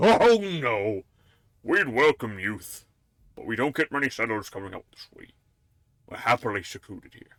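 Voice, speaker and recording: Someone uses a put-on character voice with lively intonation and long, frequent pauses. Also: man, medium pitch for a man, moderate pace. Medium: game stream. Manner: genial, conspiratorial.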